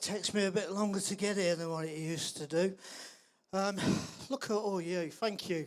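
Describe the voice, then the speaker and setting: A man speaks with a high voice. His intonation stays fairly even. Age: 40s. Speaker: vaccine-injured campaigner. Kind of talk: rally speech.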